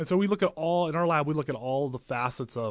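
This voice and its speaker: With an American accent, a man speaks at a very fast pace with lively intonation. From West Texas (Crane and Midland). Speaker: communication professor. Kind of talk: interview. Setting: studio.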